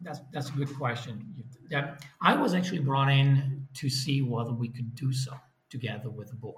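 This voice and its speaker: Amid audible room echo, a man with an Italian accent talks at a medium pitch with fairly even intonation. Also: moderate pace. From Italy. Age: 40s. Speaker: business executive. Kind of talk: interview.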